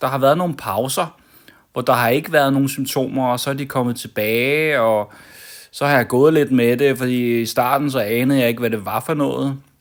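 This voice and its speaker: A calm man at medium pitch, with ordinary pitch variation and a moderate pace. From Denmark, Copenhagen (Amager). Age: 40s. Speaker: vlogger. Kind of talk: personal vlog monologue. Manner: calm, hesitant with many fillers.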